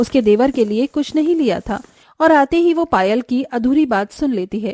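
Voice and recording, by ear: A woman with a high pitch and lively intonation speaks at a moderate pace, her slightly mellow tone captured in a dry, close sound with no echo.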